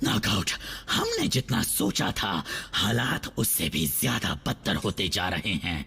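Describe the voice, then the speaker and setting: Putting on a character voice, a man speaks at a fairly slow pace with a fairly low pitch over clear background noise. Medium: fan dub. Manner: wheedling, self-serving.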